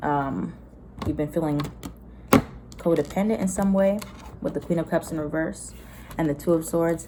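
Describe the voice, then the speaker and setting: With an American accent, a woman talks at a moderate pace, leaving long, frequent pauses. Her pitch is fairly low, with ordinary variation. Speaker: tarot reader. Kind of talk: tarot reading to camera. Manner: animated.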